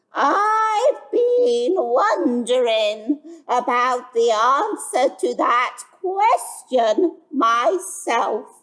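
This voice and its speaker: A woman speaks in a put-on character voice with a high pitch, a wheezy sound, very wide pitch swings, very even loudness and a very slow pace. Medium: read story.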